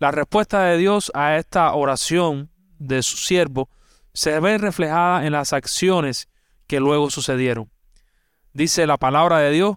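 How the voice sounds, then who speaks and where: A man with a fairly high pitch talks fairly slowly with ordinary pitch variation, the sound dry and close with no echo on a very clean recording with a silent background. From Cuba. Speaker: pastor. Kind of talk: sermon.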